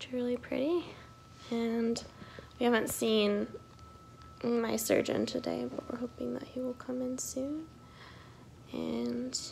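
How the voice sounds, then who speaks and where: A woman talks at a fairly slow pace with long, frequent pauses. Light background noise can be heard. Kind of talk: casual vlog chat. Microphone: phone near.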